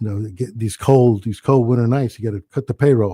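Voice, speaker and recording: A man with a New Jersey accent, very fast pace, dark and mellow tone, somewhat breathy delivery, ordinary pitch variation, and a dry, close sound with no echo. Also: very clean recording, silent background. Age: 70s. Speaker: restaurant owner. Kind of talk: casual chat.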